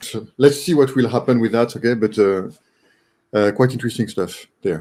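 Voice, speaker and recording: With a French accent, a man speaks at a moderate pace in a dark, mellow tone, his medium pitch showing ordinary pitch variation. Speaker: online community member, robotics project participant. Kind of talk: casual group video call discussion. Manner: halting, many fillers (uh, um, okay).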